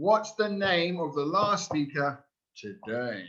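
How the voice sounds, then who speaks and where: A man with a British accent, high-pitched and bright, sharp in tone, with very wide pitch swings at a very slow pace. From New Zealand. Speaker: language school director presenting a webinar. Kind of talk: webinar quiz for teachers. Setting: online webinar. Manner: animated.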